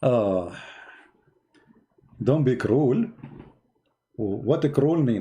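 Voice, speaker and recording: In a non-native accent, a man with a medium pitch and a dark, mellow, somewhat breathy tone speaks at a very slow pace with lively intonation and long, frequent pauses. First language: Arabic. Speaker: online religious debater. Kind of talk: live stream chat. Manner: animated.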